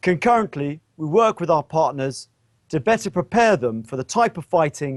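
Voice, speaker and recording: A man talks with a British accent and lively intonation. The sound is dry and close, with no echo. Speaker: military officer. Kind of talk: press briefing. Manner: formal.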